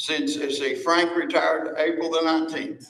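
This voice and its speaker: In an Appalachian accent, a man speaks at a moderate pace and high pitch with ordinary pitch variation. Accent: Appalachian Southern US. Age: 70s. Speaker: landfill convenience center worker. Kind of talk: public comment at county meeting.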